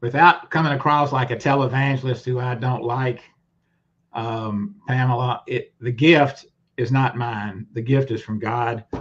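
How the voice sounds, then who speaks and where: Somewhat breathy, a man with a Southern US accent speaks at a fairly slow pace, with medium pitch and fairly even intonation. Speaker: lawyer. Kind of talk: testimony. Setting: livestream video call.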